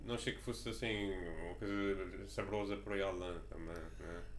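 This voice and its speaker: A man is speaking. His pace is fairly slow. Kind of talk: casual food review talk.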